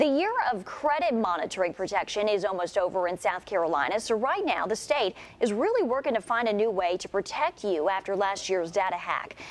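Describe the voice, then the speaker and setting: A woman speaks at a medium pitch with lively intonation, a fairly quick pace and hardly any pauses over noticeable background noise. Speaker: news anchor. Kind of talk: local TV morning news anchor read.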